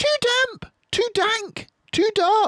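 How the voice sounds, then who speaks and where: This is a put-on character voice. It is squeaky and pitched extremely high. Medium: read story.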